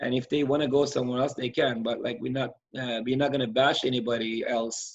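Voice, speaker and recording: A man speaks at a medium pitch in a monotone with flat intonation. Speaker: youth soccer club coach. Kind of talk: casual interview chat. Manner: loud; halting, many fillers.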